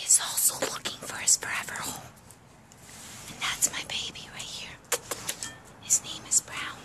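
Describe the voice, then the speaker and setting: A woman whispers. She leaves long, frequent pauses. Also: moderate pace. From Bosnia. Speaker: stray dog rescuer. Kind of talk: casual talk to camera. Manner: quiet, hushed; affectionate, baby talk to dogs. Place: street. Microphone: phone near.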